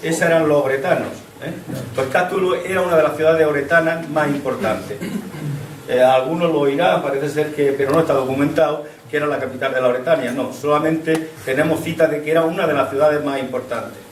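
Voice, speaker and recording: Over noticeable background noise and audible room echo, a man with a fairly high voice speaks at a very fast pace with fairly even intonation. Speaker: local history speaker on archaeology. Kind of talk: public talk to an audience. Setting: hall with audience, microphone. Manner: halting.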